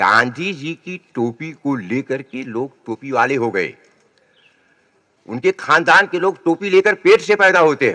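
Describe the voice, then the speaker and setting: A man speaks in an unremarkable speaking voice at a fairly high pitch. His intonation is lively and his loudness swings widely. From Uttar Pradesh, Sultanpur. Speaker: poet. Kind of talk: public speech.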